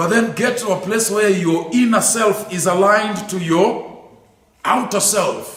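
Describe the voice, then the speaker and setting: High-pitched male speech, fairly even in intonation and fairly slow, with noticeable background noise. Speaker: lecturer on theology. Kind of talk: lecture.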